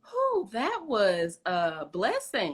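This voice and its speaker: A medium-pitched woman's voice with a Southern accent and a bright, sharp tone. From US South, East St. Louis area. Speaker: interview host. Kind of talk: casual interview chat.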